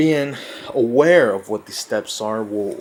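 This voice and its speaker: A man with a Spanish accent at a fairly slow pace, against noticeable background noise. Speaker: self-help vlogger. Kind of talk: informal lecture. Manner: halting.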